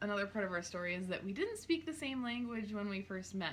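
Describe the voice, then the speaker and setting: A woman speaks with an Upper Midwest accent. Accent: Upper Midwest American. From North Dakota, small town. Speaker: clothing stylist, small business owner. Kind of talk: casual chat.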